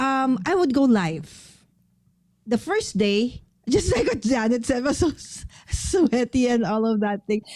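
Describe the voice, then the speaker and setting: A fairly slow delivery with a Filipino accent, lively intonation and very even loudness. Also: woman, high pitch for a woman. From Philippines. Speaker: paper crafter and live streamer. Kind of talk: casual chat.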